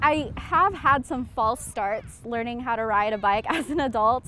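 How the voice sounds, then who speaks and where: It's a normal speaking voice. The pitch variation is ordinary. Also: woman. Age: 20s. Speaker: documentary subject. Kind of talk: interview.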